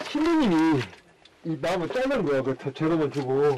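This man's voice is fairly high. Clear background noise can be heard beneath it. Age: 70s. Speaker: Buddhist monk. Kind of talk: interview answer. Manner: casual, plain-spoken.

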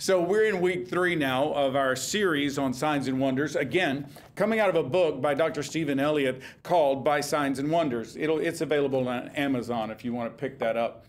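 The man's pitch varies in an ordinary way as he talks at a moderate speed. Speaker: pastor. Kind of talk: sermon. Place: stage.

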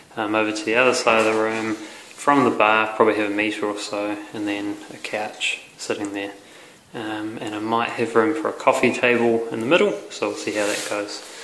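Against light background noise and audible room echo, a man talks at a moderate pace in a fairly low pitch, his intonation monotone and flat. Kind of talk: casual vlog chat. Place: empty room. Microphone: phone near.

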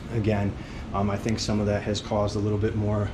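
Over noticeable background noise, a man with a fairly low pitch talks at a fairly quick pace. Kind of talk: walkthrough explanation to a client. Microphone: phone near.

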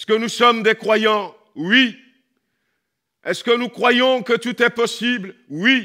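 A man speaks in a raised, projected voice at a very slow pace. The background is quiet. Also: ordinary pitch variation. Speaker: pastor. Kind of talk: sermon. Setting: church. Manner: animated. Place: church. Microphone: headset.

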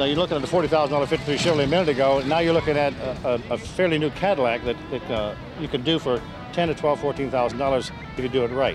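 Clear music plays in the background as a man talks at a very fast pace with ordinary pitch variation, in a dry sound with no echo. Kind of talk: interview answer. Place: street.

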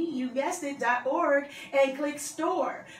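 Over noticeable background noise, a woman talks at a moderate pace in a high pitch with fairly even intonation. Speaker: radio DJ. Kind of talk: radio station donation announcement.

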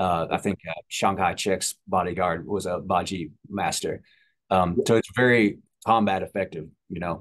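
A man talks in a very deep, low pitch. The background is quiet. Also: fairly even intonation, moderate pace. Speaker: podcast host. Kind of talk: interview. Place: home room. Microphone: video call.

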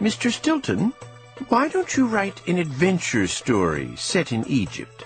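A squeaky put-on character voice at a middle pitch moves at a fairly slow pace over clear music in the background.

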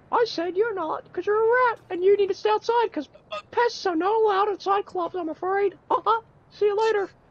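A put-on character voice at an extremely high pitch runs at a fairly quick pace. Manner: aggressive, bullying.

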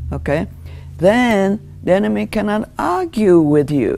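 Speaking with a Japanese accent, a woman uses lively intonation and her voice carries vocal fry. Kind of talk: Bible teaching talk. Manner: earnest, emphatic, declarative; earnest, explanatory, with hesitations. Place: studio. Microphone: lapel.

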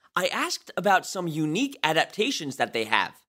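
Raised and projected, a man's bright, sharp voice swings very widely in pitch on a very clean recording with a silent background. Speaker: podcast host. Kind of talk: interview.

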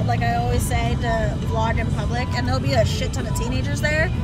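A woman talks at a fairly quick pace, and the sound is dry with no echo. Loud music plays in the background. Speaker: vlogger. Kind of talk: casual vlog chat. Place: car. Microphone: phone near.

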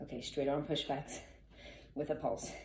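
Her pitch very deep and low, a woman speaks at a fairly slow pace in a somewhat breathy voice. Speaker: fitness instructor. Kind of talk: follow-along workout coaching with rep counting. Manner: brisk, rhythmic rep counting to fifteen; encouraging, casual cues to the viewers.

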